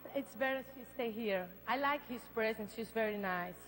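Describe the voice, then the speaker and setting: Speaking in a Brazilian Portuguese accent, a woman keeps a moderate pace and ordinary pitch variation. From Brazil, Belém. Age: 20s. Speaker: beauty pageant contestant. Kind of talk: live pageant interview. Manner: halting.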